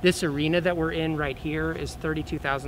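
A man's fairly high pitch, moderate pace and fairly even intonation, an ordinary speaking voice. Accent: American. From Oklahoma. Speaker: film studio entrepreneur. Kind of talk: news interview. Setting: on location in a convention arena.

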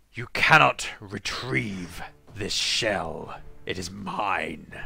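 A man's put-on character voice, booming and fairly low, at a very slow pace. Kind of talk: fantasy roleplay. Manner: cold, menacing.

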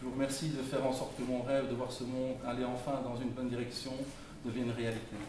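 The speech comes at a very fast pace in a monotone, flat intonation, with noticeable background noise and audible room echo. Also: man. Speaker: engineer, election candidate. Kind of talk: public speech. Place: hall.

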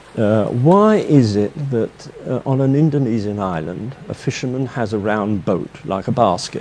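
Lively intonation with an English accent, a fairly slow pace, and light background noise. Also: man. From England. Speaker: marine painter. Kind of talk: interview answer. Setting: painting studio. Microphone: lapel.

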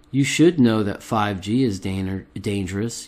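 A man's plain, everyday voice, fairly low in pitch, with lively intonation and a fairly slow pace. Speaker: video blogger conspiracy commentator. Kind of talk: angry rant. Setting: recorded solo video. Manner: indignant, accusatory, worked-up; urgent, addressing viewers directly.

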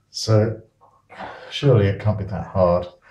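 Fairly low male speech, fairly slow in pace, carrying audible room echo. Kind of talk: casual vlog chat. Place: bathroom. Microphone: phone near.

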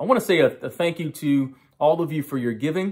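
Against a quiet background, the voice moves at a moderate pace with ordinary pitch variation. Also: man. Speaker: pastor. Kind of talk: sermon opening address. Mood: warm, grateful. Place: home room. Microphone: phone near.

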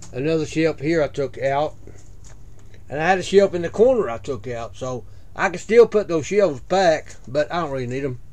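A man talks at a moderate pace with a fairly high pitch, lively intonation and a slightly mellow tone.

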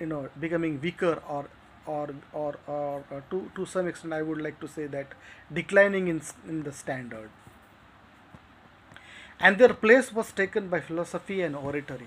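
A man talks at a moderate pace with ordinary pitch variation. His loudness swings widely, and he leaves long, frequent pauses. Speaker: literature teacher. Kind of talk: lecture. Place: home room. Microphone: phone near.

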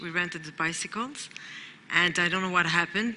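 A woman of medium pitch speaks over noticeable background noise. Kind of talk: personal testimony. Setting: stage with audience. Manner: halting.

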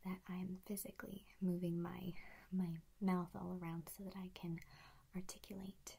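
A woman talks at a moderate pace in a dark, mellow, somewhat breathy tone. Her intonation is monotone and flat. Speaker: voice coach. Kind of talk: tutorial. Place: home room. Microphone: earbuds.

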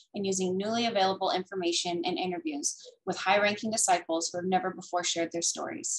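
In an unremarkable speaking voice, a woman of medium pitch talks at a fairly quick pace with ordinary pitch variation over a quiet background. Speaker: bookstore event host. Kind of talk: scripted introduction. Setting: video call. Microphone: webcam.

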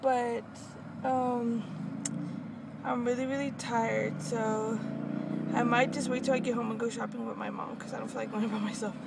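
A woman at a moderate pace, dry sound with no echo, loud background noise behind her. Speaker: pregnant vlogger. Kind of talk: casual vlog chat. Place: car. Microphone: phone near.

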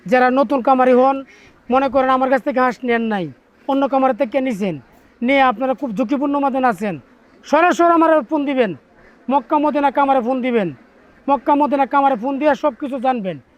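The male speaker's pitch is extremely high. It varies in an ordinary way. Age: 50s. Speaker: duck farmer. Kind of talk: interview.

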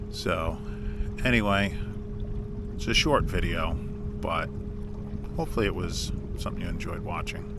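Loud background noise surrounds a man speaking at a moderate pace with long, frequent pauses. The sound is dry, with no echo. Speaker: angler vlogger. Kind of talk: casual vlog chat. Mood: relaxed, slightly weary. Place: boat. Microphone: camera far.

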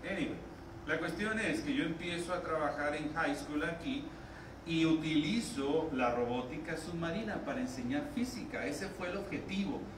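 With noticeable background noise and audible room echo, a man speaks at a fairly quick pace, his fairly high pitch moving in lively intonation. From Mexico. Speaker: physics teacher, professor. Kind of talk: conference talk. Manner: animated. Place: hall.

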